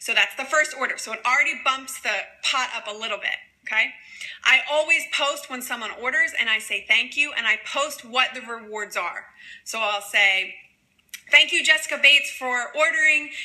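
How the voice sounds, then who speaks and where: Raising and projecting her voice, a woman speaks at a high pitch with lively intonation. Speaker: direct sales presenter. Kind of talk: training livestream. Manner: fast.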